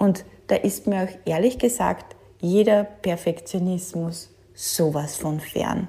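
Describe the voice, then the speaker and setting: A woman speaks very slowly at a medium pitch with ordinary pitch variation. Her dark, mellow tone carries vocal fry. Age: 40s. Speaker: podcast host, working mother and manager. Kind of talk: solo monologue podcast.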